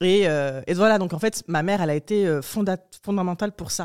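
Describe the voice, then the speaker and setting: A woman with a plain, everyday voice and fairly low pitch talks at a fairly quick pace on a very clean recording with a silent background. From southern France, rural. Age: 20s. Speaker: journalist and writer. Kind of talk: casual chat.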